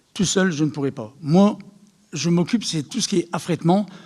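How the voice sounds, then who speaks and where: A man speaks in a high voice with lively intonation. His tone is animated. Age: 60s. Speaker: charity volunteer organiser. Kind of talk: public talk. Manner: animated, hesitant with repetitions.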